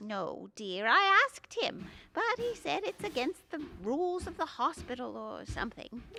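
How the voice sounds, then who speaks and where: A woman does a put-on character voice, high in pitch, at a moderate pace. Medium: audio drama.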